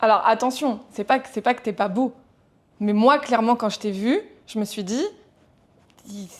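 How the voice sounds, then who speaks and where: On a very clean recording with a silent background, a woman speaks at a fairly slow pace and fairly high pitch with ordinary pitch variation, long, frequent pauses and big swings in loudness. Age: 30s. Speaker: entrepreneur, podcast guest. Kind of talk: casual podcast conversation.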